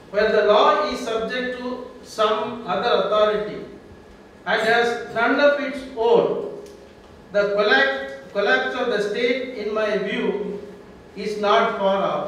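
A man speaks very slowly at a high pitch with fairly even intonation. Strong room echo and light background noise are heard. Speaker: introducer at a public lecture. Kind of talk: formal introductory speech. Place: hall.

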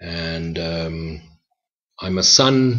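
With a quiet background behind him, a man's pitch varies in an ordinary way. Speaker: spiritual teacher. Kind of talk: reflective spoken teaching. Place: home room. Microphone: webcam.

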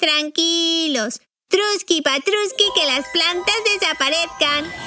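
A cartoonish character voice sounds female and sits at an extremely high pitch. It moves at a fairly slow pace. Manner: boastful, impulsive.

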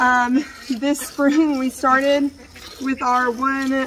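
A woman with a high-pitched voice speaks over light background noise. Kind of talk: casual vlog chat. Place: farm machine. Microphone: earbuds.

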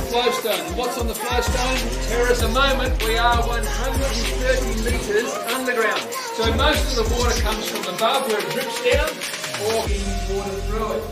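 Over music in the background, the speech moves at a moderate pace. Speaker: cave tour guide. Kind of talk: guided tour explanation. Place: tunnel cave. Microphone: camera far.

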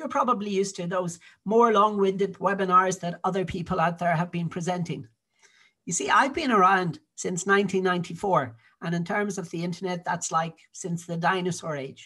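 A man's high, raised and projected voice in a Dublin accent, bright and sharp in tone, with ordinary pitch variation. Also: moderate pace. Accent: Dublin Irish. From Ireland, Dublin. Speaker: digital marketing consultant. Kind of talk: sales pitch.

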